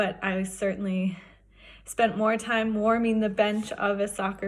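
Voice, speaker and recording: In an American accent, a woman speaks with a somewhat breathy voice and a monotone, flat intonation. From Wyoming, US. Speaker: professional skier. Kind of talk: personal testimony.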